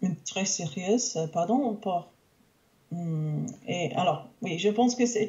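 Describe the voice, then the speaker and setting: A woman speaks at a medium pitch with lively intonation. She goes at a very slow pace, with long, frequent pauses. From Canada. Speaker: English teacher and language learner. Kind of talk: interview. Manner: halting, many hesitations.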